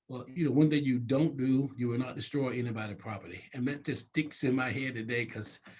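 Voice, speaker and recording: This man has an American accent and a somewhat breathy, medium-pitched voice. He talks at a fairly quick pace with fairly even intonation and hardly any pauses. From US South, North Carolina coast. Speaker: city council member. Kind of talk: interview. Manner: casual, conversational.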